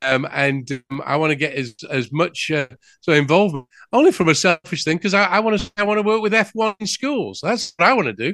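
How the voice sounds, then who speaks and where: A man talks fairly quickly in a high, bright, sharp tone with very wide pitch swings. The sound is dry and close with no echo. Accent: English. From England. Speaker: business news host. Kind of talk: interview. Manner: halting.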